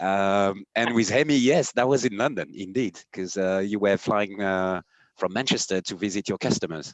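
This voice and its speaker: A man with a French accent speaks at a moderate pace in a fairly low pitch, with ordinary pitch variation. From France. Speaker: company CEO. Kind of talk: podcast conversation. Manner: hesitant, many fillers.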